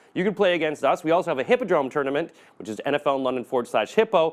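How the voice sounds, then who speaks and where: Animated and lively in intonation, a man talks at a very fast pace. His pitch is fairly high. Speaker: NFL fantasy picks presenter. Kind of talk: casual video commentary.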